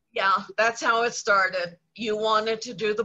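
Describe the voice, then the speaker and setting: Fairly high in pitch, a woman talks in a normal speaking voice. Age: 60s. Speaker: television makeup artist. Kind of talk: casual chat.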